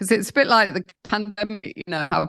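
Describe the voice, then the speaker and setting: Against a quiet background, a woman with a British accent speaks with vocal fry, the sound dry and close with no echo. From London, England. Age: 70s. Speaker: founder of sobriety support program. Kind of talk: podcast interview answer.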